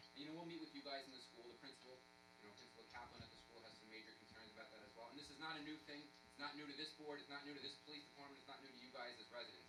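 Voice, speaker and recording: Talking very fast with hardly any pauses, a man is heard with audible room echo. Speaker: police officer. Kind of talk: public meeting presentation. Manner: loud.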